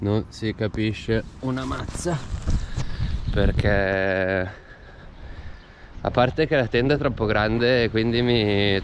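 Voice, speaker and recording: A man speaks at a very slow pace with long, frequent pauses. His pitch varies in an ordinary way over noticeable background noise. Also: medium pitch for a man. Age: 30s. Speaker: bicycle traveller. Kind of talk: casual travel vlog talk to camera. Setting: outdoors.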